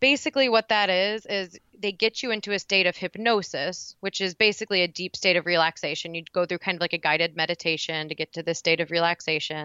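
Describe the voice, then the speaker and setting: Her pitch is fairly low and its variation ordinary as this woman talks at a fairly quick pace. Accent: Midwestern American. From Indiana. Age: 20s. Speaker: acupuncturist and recovery guest. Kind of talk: personal testimony interview.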